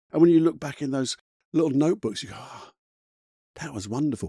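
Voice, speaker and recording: In a very clean recording with a silent background, a man with a British accent has a dark, mellow tone and a dry, close sound with no echo. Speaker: motivational coach. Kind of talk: motivational talk. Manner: fast; animated.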